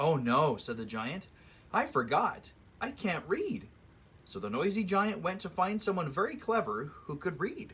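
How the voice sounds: A natural reading voice is heard here.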